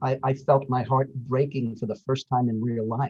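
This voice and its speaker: A man's somewhat breathy voice, medium in pitch, proceeds at a moderate pace. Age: 60s. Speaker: actor, audiobook narrator and acting coach. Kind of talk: casual chat.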